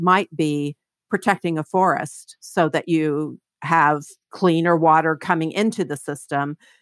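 With an American accent, a woman with a plain, everyday voice talks at a fairly low pitch in a dry, close sound with no echo. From Kentucky, small town on the Ohio River. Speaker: economist. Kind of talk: interview.

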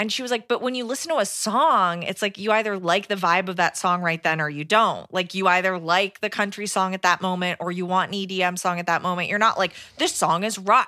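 Speaking at a fairly quick pace with hardly any pauses, a woman has a medium pitch, ordinary pitch variation and a bright, sharp tone. The recording is very clean, with a silent background. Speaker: indie podcaster. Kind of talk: casual chat.

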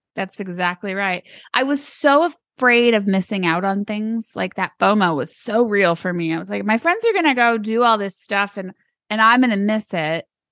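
In an ordinary speaking voice with an American accent, a woman talks at a medium pitch and moderate pace with lively intonation, the sound dry and close with no echo over a quiet background. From Arizona. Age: 40s. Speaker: author and business owner. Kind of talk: interview.

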